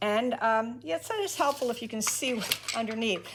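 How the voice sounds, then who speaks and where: There is noticeable background noise. A woman with a fairly high voice speaks at a moderate pace. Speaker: weaver. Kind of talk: tutorial talk to camera.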